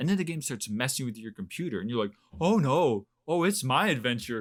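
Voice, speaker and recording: On a very clean recording with a silent background, a man speaks fairly quickly at medium pitch with very wide pitch swings. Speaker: video game podcast co-host. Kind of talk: casual chat. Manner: stuttering at times.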